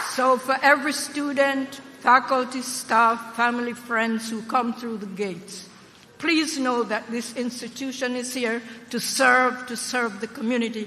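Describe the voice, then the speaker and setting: Fairly slow speech in an American accent, with noticeable background noise. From Jamaica. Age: old. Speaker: university trustee, former politician. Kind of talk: commencement speech. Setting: stage with audience. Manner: animated.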